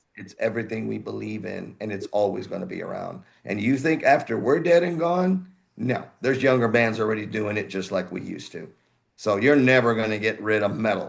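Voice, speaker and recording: Speaking at a fairly quick pace with vocal fry, a man at medium pitch shows lively intonation and big swings in loudness. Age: 60s. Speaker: heavy metal singer. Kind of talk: casual chat. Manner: animated.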